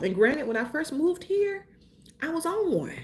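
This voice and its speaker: A woman with a Mississippi accent and very wide pitch swings. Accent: Southern US, Mississippi. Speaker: lifestyle and travel vlogger. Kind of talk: casual chat.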